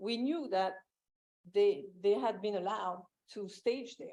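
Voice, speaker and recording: At a fairly slow pace, a woman talks in a medium pitch with a dark, mellow tone. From France. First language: French. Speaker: property owner testifying. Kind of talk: public hearing testimony. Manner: halting.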